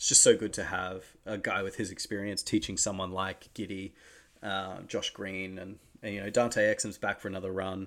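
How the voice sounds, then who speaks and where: In a very clean recording with a silent background, a man with an Australian accent speaks at a fairly low pitch and a moderate pace in a monotone, flat intonation. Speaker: basketball podcast host. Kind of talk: casual solo talk. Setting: home recording setup.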